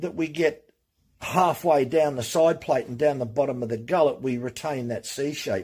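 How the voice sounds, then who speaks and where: Against a quiet background, a man's somewhat breathy voice moves at a moderate pace. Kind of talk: tutorial. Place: workshop.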